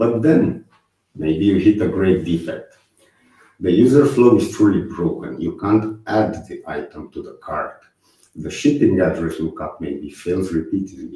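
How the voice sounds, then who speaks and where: A man speaks with a Romanian accent at a fairly slow pace. His loudness swings widely. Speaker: software testing speaker. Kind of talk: conference talk. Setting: online conference stream. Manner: hesitant with fillers.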